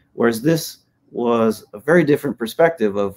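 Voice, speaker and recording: The speaker has a Hawaiian accent and lively intonation. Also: man. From Hawaii, Hilo (Big Island). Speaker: professor and surfer; professor. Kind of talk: podcast interview. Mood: relaxed, reflective. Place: home room.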